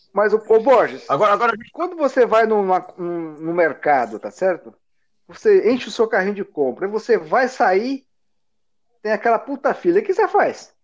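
A man with a high-pitched voice speaks at a moderate pace, his pitch swinging very widely. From interior of São Paulo state, Brazil. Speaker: podcast co-host. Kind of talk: casual chat. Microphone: delayed connection.

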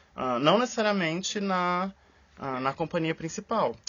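Here a man speaks at a fairly slow pace. His pitch is high and his intonation lively. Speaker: podcast co-host, scientist and musical theatre enthusiast. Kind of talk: casual chat.

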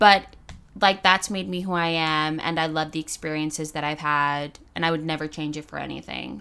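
In a very clean recording with a silent background, a woman with an American accent speaks at a moderate pace in a bright, sharp tone and a very deep, low pitch. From US. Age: 20s. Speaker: law student. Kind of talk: casual chat.

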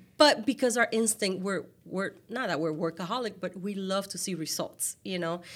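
With a Latin American accent, a woman talks at a moderate pace and medium pitch, using ordinary pitch variation and hardly any pauses. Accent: noticeable Latin American. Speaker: podcast host. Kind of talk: casual interview chat.

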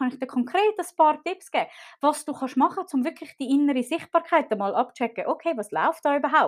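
In a very clean recording with a silent background, a woman with a high pitch speaks with lively intonation. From Switzerland, Zurich. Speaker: marketing podcast host for therapists. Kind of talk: live stream talk to audience.

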